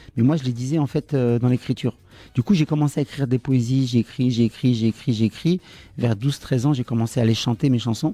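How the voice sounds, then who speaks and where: A man speaks very fast in a dark, mellow tone. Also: medium pitch for a man, ordinary pitch variation. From France, Tunisian parents from Le Kef. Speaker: songwriter. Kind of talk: interview. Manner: hesitant with many fillers.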